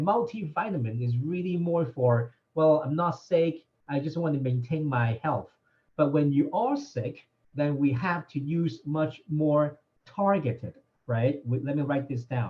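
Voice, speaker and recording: A man's fairly high, somewhat breathy voice at a fairly slow pace. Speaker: doctor answering health questions. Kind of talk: live Q&A session.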